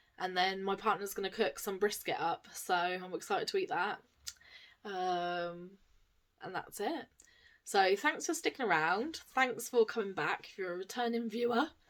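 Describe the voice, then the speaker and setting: A woman with an English accent speaks at medium pitch and a moderate pace, her intonation lively and her loudness swinging a lot. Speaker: cross-stitch vlogger. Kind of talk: casual vlog chat. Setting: home, camera on tripod. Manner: soft-spoken.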